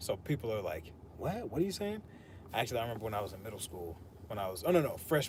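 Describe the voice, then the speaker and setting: Somewhat breathy, a man speaks at a very fast pace with very wide pitch swings. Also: medium pitch for a man. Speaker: fitness streamer. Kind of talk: casual chat during workout livestream. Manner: quiet when speaking naturally.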